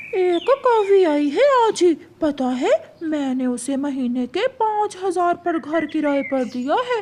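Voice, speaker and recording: A cartoonish character voice at an extremely high pitch, delivered at a fairly slow pace. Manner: money-minded.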